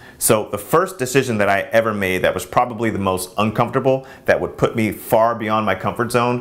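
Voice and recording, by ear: A man talks at a moderate pace with a fairly low pitch. His tone is fairly bright, with ordinary pitch variation.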